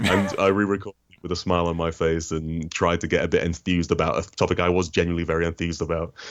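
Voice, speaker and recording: A man with a British accent talks very fast in a very deep, low pitch, with hardly any pauses. His intonation is monotone and flat, over a quiet background. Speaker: comics critic and video essayist. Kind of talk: interview.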